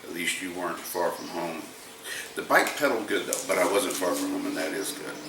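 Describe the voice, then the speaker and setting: Someone with a Southern US accent speaks amid noticeable background noise and audible room echo. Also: man. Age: 60s. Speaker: motorized bike mechanic YouTuber. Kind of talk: casual chat reading viewer comments.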